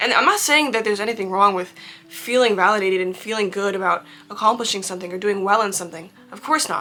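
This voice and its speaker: Over noticeable background noise, a woman speaks very fast at medium pitch. Her pitch variation is ordinary. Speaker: vlogger and actor. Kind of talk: casual advice monologue. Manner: animated.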